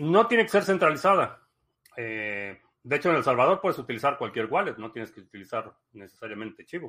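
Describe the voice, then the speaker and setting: With a Mexican accent, a man speaks in a bright, sharp tone at a fairly high pitch, with very wide pitch swings and big swings in loudness. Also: fairly quick pace. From Mexico. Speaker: livestream host. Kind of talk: casual livestream talk. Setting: live stream.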